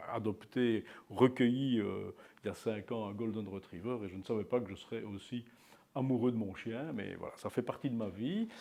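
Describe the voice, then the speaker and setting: A man of medium pitch talks at a moderate pace, his intonation fairly even. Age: 60s. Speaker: local politician. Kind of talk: interview. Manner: hesitant, many fillers.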